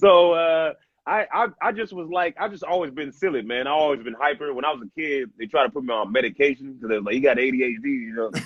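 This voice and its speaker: A man's fairly high, energetic voice at a very fast pace, lively in intonation with hardly any pauses. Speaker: stand-up comedian. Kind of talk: casual chat. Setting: video call. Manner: loud; hyper, energetic.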